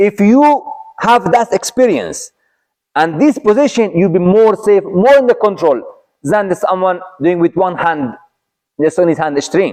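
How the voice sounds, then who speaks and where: A man with an Arabic accent talks at a fairly slow pace, his high voice moving with lively intonation. He takes long, frequent pauses and keeps his loudness very even. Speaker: Islamic teacher. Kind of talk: religious lecture. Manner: halting.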